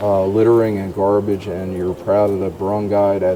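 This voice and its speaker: A voice with an American accent comes through over music in the background. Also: man. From US Northeast, New Jersey. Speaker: vlogger interviewer. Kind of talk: casual interview. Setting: outdoors at night.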